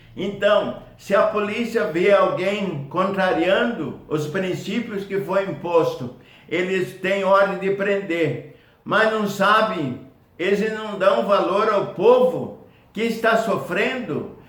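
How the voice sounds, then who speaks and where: At a very slow pace and with ordinary pitch variation, the speaker talks over noticeable background noise. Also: man, high pitch for a man. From Brazil, Paraná (Foz do Iguaçu). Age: 80s+. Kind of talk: testimonial talk to camera.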